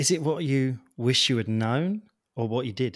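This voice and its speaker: Speaking in a British accent, a man uses a medium pitch and lively intonation at a fairly slow pace. The recording is very clean, with a silent background. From Britain. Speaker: podcast host and personal trainer. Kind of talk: casual interview.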